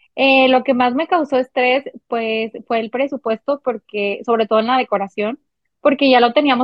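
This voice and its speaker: Using a plain, everyday voice, a woman speaks at a moderate pace with fairly even intonation. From Mexico, Monterrey, Nuevo León. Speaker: recently married bride sharing wedding experience. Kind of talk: casual chat.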